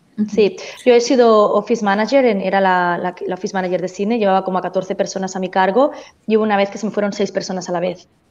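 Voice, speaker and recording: The speaker goes at a very fast pace with fairly even intonation. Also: woman, medium pitch for a woman. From Spain, Barcelona. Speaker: education agent. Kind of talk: panel discussion.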